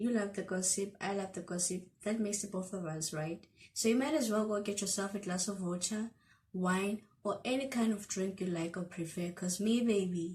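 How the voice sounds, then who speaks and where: Speaking fairly quickly with a somewhat breathy voice, the woman keeps her intonation fairly even. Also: medium pitch for a woman. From South Africa. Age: 20s. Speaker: YouTuber. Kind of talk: casual storytime talk to camera. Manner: chatty, playful.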